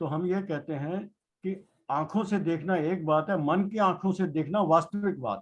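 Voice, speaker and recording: A man speaks in a high pitch. His intonation stays fairly even. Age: 60s. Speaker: participant listener. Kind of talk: discussion.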